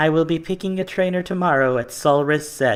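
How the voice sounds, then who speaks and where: This put-on character voice sits at a middle pitch. It moves at a fairly quick pace. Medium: read story.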